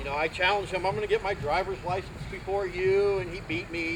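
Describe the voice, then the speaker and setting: A man speaks with a Midwestern American accent. His voice is high in pitch. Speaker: community volunteer, Navy veteran. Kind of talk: outdoor dedication speech. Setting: outdoors at garden event. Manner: animated.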